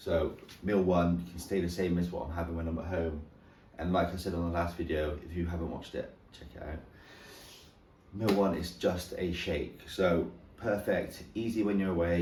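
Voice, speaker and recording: A man's very deep, low voice in a monotone, flat delivery, with audible room echo. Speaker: fitness vlogger. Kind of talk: casual vlog.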